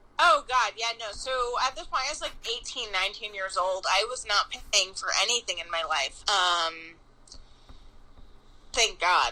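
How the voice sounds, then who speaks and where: With an American accent, a woman speaks at a fairly high pitch in a bright, sharp, animated tone, moving at a moderate pace with very wide pitch swings and long, frequent pauses. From Long Island, New York. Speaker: pastry chef. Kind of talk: casual chat.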